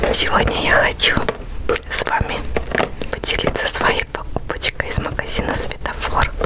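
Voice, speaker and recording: Loud background noise surrounds a woman speaking at a moderate pace with long, frequent pauses. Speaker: ASMR creator. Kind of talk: ASMR product review. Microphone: studio mic.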